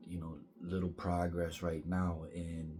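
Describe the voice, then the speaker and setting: A man speaks quietly at a very slow pace, his very deep, low voice flat and monotone. Music plays in the background, and the room echo is audible. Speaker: vlogger. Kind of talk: personal vlog monologue. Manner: halting.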